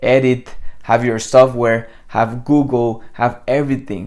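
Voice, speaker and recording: With a Spanish accent, a man speaks at a medium pitch and a very slow pace. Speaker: copywriting coach. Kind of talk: tutorial. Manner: casual, conversational.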